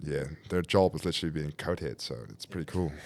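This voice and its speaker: A man with vocal fry speaks at a very deep, low pitch in a very clean recording with a silent background. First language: Dutch. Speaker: professional rugby player. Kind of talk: casual chat.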